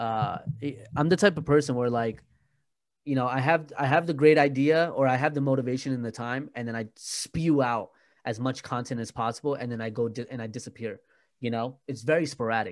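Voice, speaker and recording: A man's energetic, animated voice with an American accent, ordinary pitch variation and a fairly quick pace on a very clean recording with a silent background. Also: medium pitch for a man. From US, New Jersey. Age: 20s. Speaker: YouTuber and podcaster. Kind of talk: casual interview chat.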